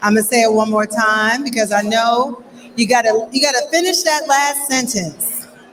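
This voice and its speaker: Over noticeable background noise, a woman with a fairly high voice talks at a moderate pace, with ordinary pitch variation and very even loudness. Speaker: gala host, news reporter and anchor. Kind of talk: live gala hosting, upbeat welcome to audience. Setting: event venue with live audience. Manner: upbeat, energetic, engaging.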